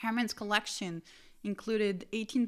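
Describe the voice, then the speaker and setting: A woman with a plain, everyday voice, medium pitch and moderate pace. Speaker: podcast host. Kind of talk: educational podcast lecture, scripted-style. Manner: informal, explanatory, with fillers.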